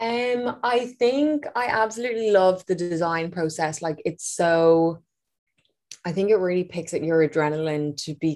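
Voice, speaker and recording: The speaker talks fairly slowly in an Irish accent with ordinary pitch variation. The recording is very clean, with a silent background. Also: woman. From Ireland, Dublin area. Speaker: fashion designer and former nurse. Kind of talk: interview.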